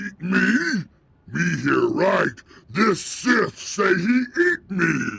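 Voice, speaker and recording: A put-on character voice growls at a very slow pace. It is raised and projected. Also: man, high pitch for a man. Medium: video game. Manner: broken grammar, crude, simple-minded.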